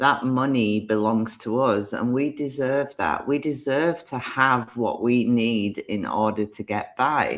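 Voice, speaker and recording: The speaker has a Yorkshire accent. Hardly any pauses break up the talk. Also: fairly slow pace. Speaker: tarot card reader. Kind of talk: live-stream card reading. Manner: animated.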